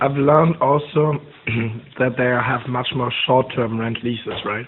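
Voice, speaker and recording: Speaking at a fairly slow pace with a German accent, a man with a medium-pitched voice keeps his intonation fairly even over noticeable background noise. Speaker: student researcher, interviewer. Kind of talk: interview.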